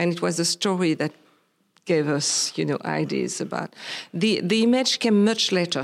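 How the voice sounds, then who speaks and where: With vocal fry, a woman speaks at a moderate pace. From Réunion island. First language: Creole. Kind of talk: interview conversation. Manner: halting, hesitant.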